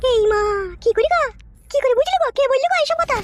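A woman puts on a squeaky character voice at an extremely high pitch. She talks very fast, with a dry, close sound and no echo. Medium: cartoon. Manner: rustic, sing-song.

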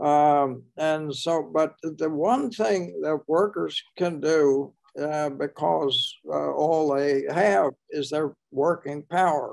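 A man with a fairly high pitch talks at a very slow pace with ordinary pitch variation. The background is quiet. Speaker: historian and author; guest. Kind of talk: panel discussion. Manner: halting. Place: home room. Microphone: video call.

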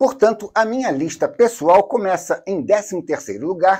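Lively in intonation, a man speaks at a high pitch in a dark, mellow tone. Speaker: sneaker reviewer. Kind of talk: scripted narration.

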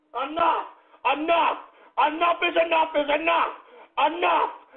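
This man speaks at an extremely high pitch with ordinary pitch variation. Audible room echo surrounds the recording. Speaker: internet radio show host. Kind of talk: live call-in radio rant. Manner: low-energy, distant; exasperated shouting.

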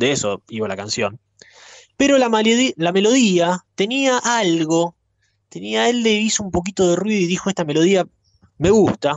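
A man with a high pitch and a Rioplatense accent speaks at a moderate pace, with very wide pitch swings and long, frequent pauses, in a dry sound with no echo. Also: quiet background. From Argentina. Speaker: radio host. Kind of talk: storytelling. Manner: conversational. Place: studio.

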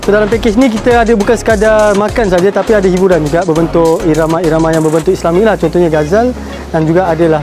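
The speech comes at a very fast pace with ordinary pitch variation. The sound is dry with no echo, and music is clearly heard in the background. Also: man. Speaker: travel show host. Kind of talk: casual vlog presentation. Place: waterside. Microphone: phone near.

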